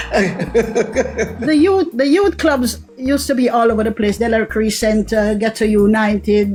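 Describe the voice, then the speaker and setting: Music plays behind a woman with a Jamaican accent and a fairly high pitch, speaking at a fairly slow pace with hardly any pauses. Her loudness stays very even, and her pitch variation is ordinary. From Jamaica, Greenwich Town, Kingston. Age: 60s. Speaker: caller. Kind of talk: call-in question.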